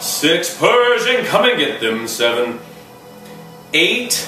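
Faint music plays in the background as a man talks at a very slow pace. His voice carries audible room echo. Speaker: fitness instructor. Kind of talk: workout tutorial with rep counting. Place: home room. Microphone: camera far.

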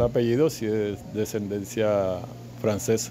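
Loud background noise runs beneath a man talking at a fairly slow pace. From Colombia, Cartagena; Colombia. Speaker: school storekeeper, industrial engineer. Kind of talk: interview. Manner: halting, many repetitions. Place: office. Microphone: handheld.

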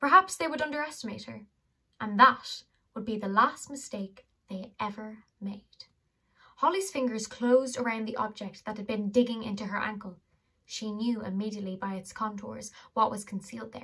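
In a bright, sharp tone, a woman talks at a moderate pace with ordinary pitch variation and big swings in loudness over a quiet background. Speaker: audiobook reader. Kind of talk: reading a novel aloud. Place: home room. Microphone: phone near.

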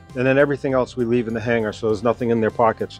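A man's fairly even intonation, with a dry sound, no echo and faint music in the background. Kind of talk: tutorial walkthrough. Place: hall.

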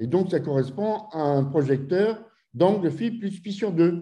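A man's high-pitched voice with a dark, mellow tone over a quiet background. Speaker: physics professor. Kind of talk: lecture. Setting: video call. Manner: halting. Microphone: video call.

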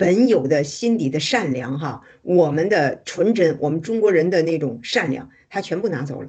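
A woman talks at a moderate pace with a very deep, low pitch and lively intonation. She hardly pauses, and the background is quiet. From China. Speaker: activist. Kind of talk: casual chat. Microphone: video call.

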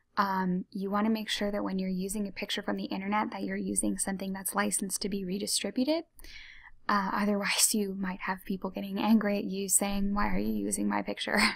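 The voice is soft-spoken. It moves at a very fast pace. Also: woman. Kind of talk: ASMR tutorial, soft-spoken talk to camera. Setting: computer mouse clicks and typing sounds in background.

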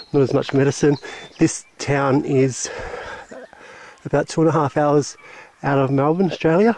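A man speaks with fairly even intonation in a dry sound with no echo, against light background noise. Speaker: explorer vlogger. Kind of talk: casual vlog commentary. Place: open country. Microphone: phone near.

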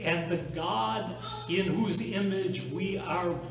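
A man speaks at a very slow pace in a high pitch with ordinary pitch variation. Audible room echo surrounds the voice.

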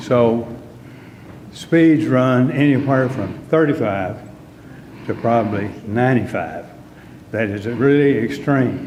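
A man with a Texan accent at a medium pitch and a fairly slow pace, amid audible room echo and noticeable background noise. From Texas, Dallas area. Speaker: resident speaking at public comment. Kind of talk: public comment at council meeting. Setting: city council meeting.

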